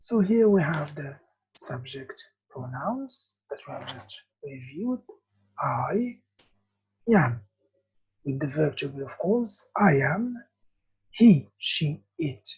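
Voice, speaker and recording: Very slow speech with an Arabic accent, somewhat breathy and dark, mellow in tone, with long, frequent pauses. The pitch swings very widely and the loudness swings a lot. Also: woman. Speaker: English teacher. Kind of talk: lesson. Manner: slow, repetitive.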